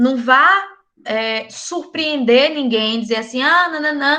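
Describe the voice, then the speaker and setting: Projecting her voice in a raised, high pitch, a woman speaks at a fairly slow pace with a bright, sharp tone and ordinary pitch variation. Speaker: university lecturer. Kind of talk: online lecture. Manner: casual, animated.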